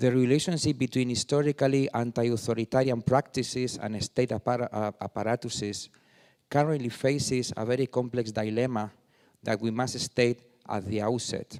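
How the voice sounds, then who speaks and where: A man with a Spanish accent speaks at a moderate pace and medium pitch, with fairly even intonation. The recording is very clean, with a silent background and a dry, close sound with no echo. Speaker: artist and former politician. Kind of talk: reading aloud.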